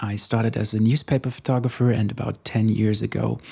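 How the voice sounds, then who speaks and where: At a moderate pace, a man talks with a fairly low pitch and fairly even intonation. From Germany. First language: German. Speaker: photographer. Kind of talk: casual vlog monologue. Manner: slightly halting.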